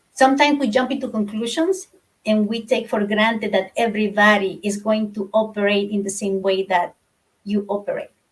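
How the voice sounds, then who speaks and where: A woman talks at a fairly quick pace and fairly high pitch. Her voice is somewhat breathy, with fairly even intonation. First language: not English. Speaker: book club participant. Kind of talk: casual discussion. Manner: halting.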